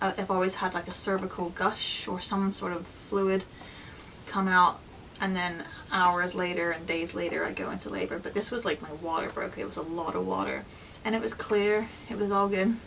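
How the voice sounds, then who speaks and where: The speech moves at a moderate pace with fairly even intonation against noticeable background noise. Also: woman, medium pitch for a woman. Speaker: vlogger sharing her birth story. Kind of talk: personal storytelling vlog. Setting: at home with newborn. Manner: quiet, soft-spoken; casual, filler-heavy.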